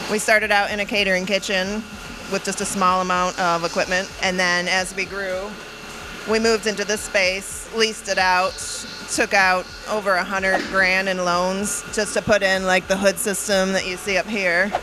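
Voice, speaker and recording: Flat and monotone, a woman talks at a moderate pace over noticeable background noise. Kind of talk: interview answer. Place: kitchen. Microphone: handheld.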